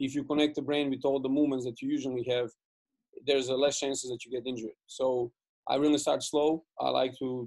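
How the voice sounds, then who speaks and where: A man at a medium pitch with a Serbian accent, a fairly quick pace, monotone, flat intonation and a dry, close sound with no echo. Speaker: basketball coach. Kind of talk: coaching webinar presentation. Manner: fast; halting, many fillers and repeats.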